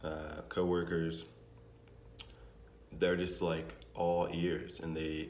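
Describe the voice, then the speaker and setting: Speaking at a very slow pace, a man with a very deep, low voice is heard with audible room echo. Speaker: vlogger, restaurant manager. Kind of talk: casual vlog monologue. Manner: casual, hesitant with fillers.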